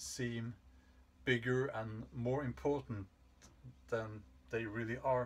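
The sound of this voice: A man's medium-pitched voice at a slow pace, with little pitch movement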